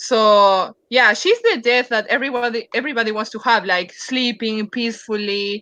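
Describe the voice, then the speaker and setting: At a moderate pace and with hardly any pauses, a woman speaks with a fairly high pitch, a bright, sharp tone and fairly even intonation. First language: not English. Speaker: comic artist. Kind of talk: casual chat. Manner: halting.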